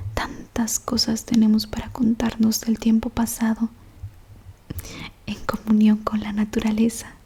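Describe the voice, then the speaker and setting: A soft-spoken woman whispering at a fairly slow pace over noticeable background noise. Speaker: ASMR audiobook reader. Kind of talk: whispered audiobook reading of a novel. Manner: whispered, soft, slow.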